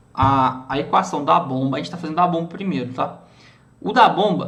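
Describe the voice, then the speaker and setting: A man with a bright, sharp tone. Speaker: student teaching a class lab session. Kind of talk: online class tutorial. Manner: halting, many repetitions and fillers.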